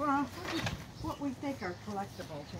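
A woman talks at a high pitch with big swings in her pitch. Background noise is clearly audible. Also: moderate pace.

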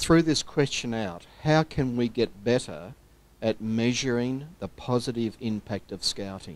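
Speaking very slowly at a medium pitch, a man with an Australian accent is heard in dry sound with no echo. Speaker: scouting official, audience questioner; questioner. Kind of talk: audience question at conference. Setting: stage with audience. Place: meeting room.

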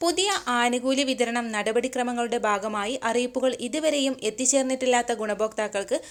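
A woman with a high-pitched voice speaks over noticeable background noise, her pitch varying in an ordinary way. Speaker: news presenter. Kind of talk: news reading. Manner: formal.

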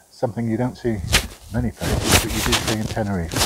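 A man with a plain, everyday voice, fairly low in pitch, at a fairly quick pace, with fairly even intonation and a dry sound with no echo. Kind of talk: casual vlog commentary. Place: open country. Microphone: phone near.

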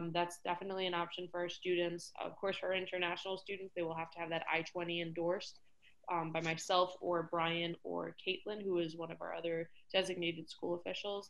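In an American accent, a woman talks with a fairly low pitch and monotone, flat intonation. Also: fairly quick pace. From New York City. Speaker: college staff member. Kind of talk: presentation. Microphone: video call.

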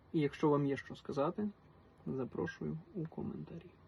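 At a moderate pace, a man talks with a western Ukrainian accent. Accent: Galician (Ternopil) Ukrainian dialect. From western Ukraine, Ternopil region. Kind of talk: personal monologue to camera.

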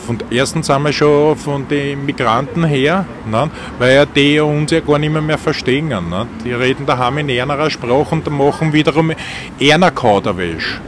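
A man with a Viennese accent speaks at a fairly high pitch and a moderate pace, with ordinary pitch variation. The sound is dry with no echo, but there is noticeable background noise. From Vienna, Austria. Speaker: taxi driver. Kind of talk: interview answer. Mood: chatty, opinionated. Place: car.

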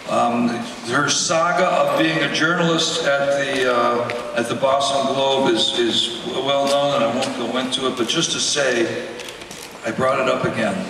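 A man talks at a fairly high pitch. There is audible room echo and noticeable background noise. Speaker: award presenter, emcee. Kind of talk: award presentation, introducing speaker. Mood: jokey, warm. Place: stage.

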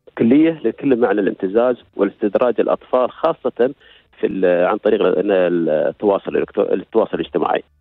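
Against a quiet background, a man talks at a moderate pace with very even loudness and a dry sound with no echo. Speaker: health authority administrator; guest. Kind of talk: radio interview. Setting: phone call. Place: studio.

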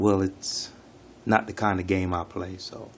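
At a moderate pace, a man talks in a very deep, low pitch amid light background noise. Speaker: channel host. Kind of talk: casual vlog chat. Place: home room. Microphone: phone near.

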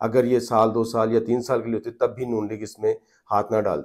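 This man talks at a fairly quick pace. The background is quiet. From Pakistan. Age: 40s. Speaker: journalist and political commentator; journalist, political commentator. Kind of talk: political commentary vlog. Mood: serious, grave. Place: home room. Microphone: lapel.

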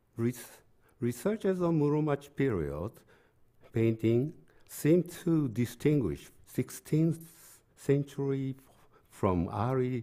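A man with a Japanese accent speaks at a very slow pace with a medium pitch, ordinary pitch variation, and a dark, mellow tone. The background is quiet. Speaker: art history professor. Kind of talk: lecture. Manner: halting. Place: hall. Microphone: podium.

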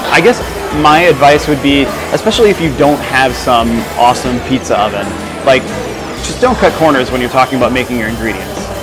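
Over clear music in the background, the speech moves at a fairly quick pace with ordinary pitch variation. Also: man. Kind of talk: interview answer. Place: cafe. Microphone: lapel.

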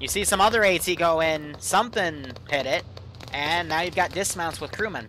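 With noticeable background noise behind him, a man talks at a moderate pace in a high pitch with ordinary pitch variation. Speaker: game master running a milsim operation. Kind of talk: military briefing and radio dispatch in a game. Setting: online game voice chat. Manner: clipped, brisk radio-style commands, casual and jokey between them.

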